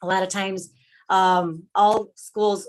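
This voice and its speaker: Her intonation stays fairly even at a medium pitch. The woman speaks with a Spanish accent. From Milwaukee, US Midwest (born in Mexico). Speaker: public commenter at board meeting. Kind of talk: public comment speech. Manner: hesitant, many fillers.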